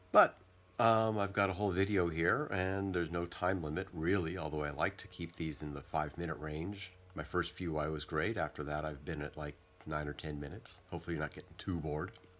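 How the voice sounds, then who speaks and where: A man's very deep, low voice at a fairly quick pace, with fairly even intonation over light background noise. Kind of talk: casual vlog chat. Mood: relaxed weekend. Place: home room. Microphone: phone near.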